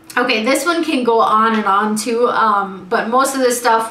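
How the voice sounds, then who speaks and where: Noticeable background noise and audible room echo surround the recording. A woman speaks at a moderate pace with ordinary pitch variation. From US, born in Guyana. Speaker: vlogger. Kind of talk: casual vlog.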